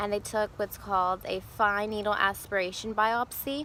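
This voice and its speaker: Fairly even intonation from a woman at medium pitch, a normal speaking voice. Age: 20s. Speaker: vlogger sharing personal cancer story. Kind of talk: personal testimony vlog. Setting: outdoors. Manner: casual, conversational.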